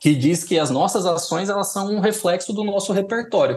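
A man talks with lively intonation. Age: 30s. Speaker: design director. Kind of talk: casual interview chat. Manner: halting, many fillers and repetitions.

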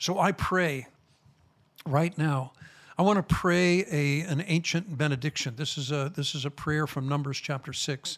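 At a moderate pace, a man with an American accent speaks in a fairly high voice. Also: very clean recording, silent background. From Chicago, US. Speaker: rabbi, ministry founder. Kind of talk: interview conversation.

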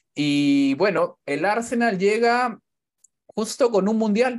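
A man's voice with very wide pitch swings on a very clean recording with a silent background. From Peru, Callao. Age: 30s. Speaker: youtuber and football commentator. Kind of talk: casual interview.

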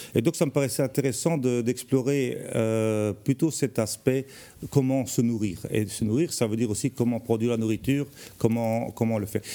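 At a moderate pace, a man speaks with a dark, mellow tone at medium pitch with ordinary pitch variation. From Belgium, Charleroi. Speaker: architect. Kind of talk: TV interview. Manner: hesitant, frequent repetitions.

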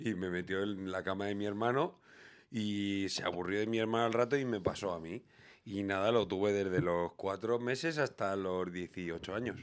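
On a very clean recording with a silent background, a man speaks at a moderate pace and a fairly low pitch. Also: ordinary pitch variation. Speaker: podcast host. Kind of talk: casual chat.

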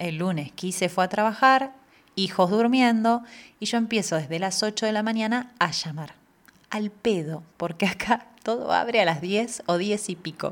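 At a fairly slow pace, a woman in a Rioplatense accent speaks with a medium pitch and ordinary pitch variation. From Argentina. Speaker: podcast host. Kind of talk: personal monologue.

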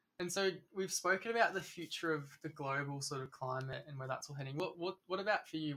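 With an Australian accent, a man talks at a fairly quick pace in a fairly high voice with ordinary pitch variation. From Melbourne, Australia. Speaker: podcast co-host. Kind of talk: interview. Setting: wine cellar.

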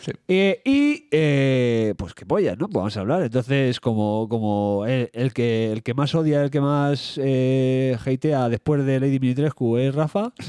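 A man speaks with a Madrid accent and a dark, mellow tone. His pace is fairly slow, with hardly any pauses. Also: medium pitch for a man, ordinary pitch variation, dry, close sound with no echo. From Madrid, Spain. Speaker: podcast co-host. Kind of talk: casual chat. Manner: animated.

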